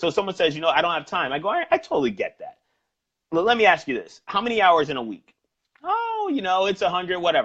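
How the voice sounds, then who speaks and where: With a New York accent, a man talks at a fairly quick pace using lively intonation. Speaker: sales trainer and personal trainer. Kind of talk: interview about sales coaching. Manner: fast.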